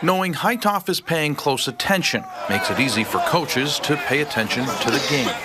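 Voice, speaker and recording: Over noticeable background noise, a man talks at a fairly quick pace in a fairly high voice, his intonation lively and his loudness very even. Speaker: sports reporter and play-by-play commentator. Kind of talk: TV news package voiceover narration.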